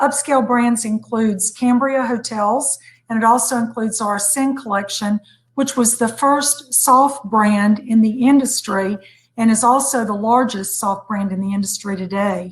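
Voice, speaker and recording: A woman with an unremarkable speaking voice talks at a moderate pace in a fairly high pitch with fairly even intonation. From United States. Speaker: hotel executive. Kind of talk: panel discussion.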